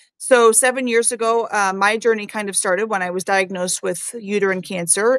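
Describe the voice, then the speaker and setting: Recorded dry and close with no echo, a woman speaks at a medium pitch and moderate pace with fairly even intonation. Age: 50s. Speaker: live stream host on metabolic health. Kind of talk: casual live chat interview. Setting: video call livestream. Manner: halting with fillers.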